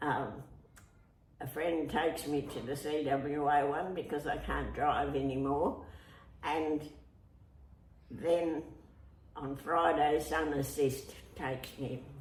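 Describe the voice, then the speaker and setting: Through noticeable background noise, a woman with an Australian accent speaks very slowly at a very deep, low pitch, with fairly even intonation and long, frequent pauses. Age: 80s+. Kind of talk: interview answer.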